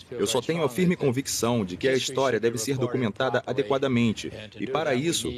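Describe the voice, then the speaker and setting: Lively intonation from a man at a medium pitch, with noticeable background noise. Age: 80s+. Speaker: businessman, shipwreck owner. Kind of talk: documentary interview.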